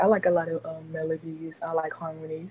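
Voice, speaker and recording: Soft-spoken and somewhat breathy, a woman talks at a fairly slow pace in a dry, close sound with no echo. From Mississippi (Hattiesburg). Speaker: R&B singer and artist. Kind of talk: interview. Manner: soft-spoken, talking low.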